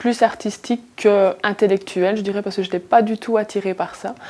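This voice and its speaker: Using monotone, flat intonation, a woman speaks at a medium pitch. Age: 20s. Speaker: accounting assistant, former factory worker. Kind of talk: interview answer.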